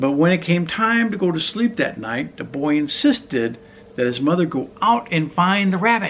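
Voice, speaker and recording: Over noticeable background noise, a man speaks in a high voice with very wide pitch swings. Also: moderate pace. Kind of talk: children's storybook reading.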